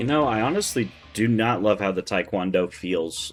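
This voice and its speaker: A man with a fairly low pitch talks as music plays behind him. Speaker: gaming video creator. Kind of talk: gameplay commentary. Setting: recording away from home. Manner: quiet, talking low. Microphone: slight echo on the mic.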